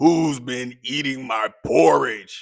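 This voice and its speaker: A man puts on a gruff character voice. His pitch is medium for a man. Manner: growling, angry.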